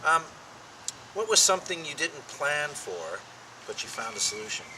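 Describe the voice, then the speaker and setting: A man speaks against noticeable background noise. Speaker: interviewer. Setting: outdoors.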